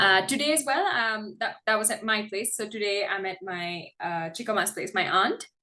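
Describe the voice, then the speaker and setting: Speaking at a moderate pace with hardly any pauses, a woman with an American accent has a fairly high pitch and ordinary pitch variation. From India, Karnataka. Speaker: English tutor. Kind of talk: casual chat. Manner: hesitant, many fillers.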